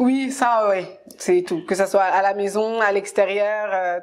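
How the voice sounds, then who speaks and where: A woman at a medium pitch, speaking at a fairly slow pace. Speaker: interview show host. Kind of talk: interview. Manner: animated. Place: home room.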